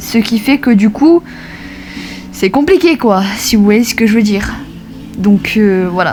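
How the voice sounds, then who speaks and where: There is music in the background. The speaking is very slow. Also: woman. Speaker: gaming YouTuber. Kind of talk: vlog update to viewers. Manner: halting, many fillers.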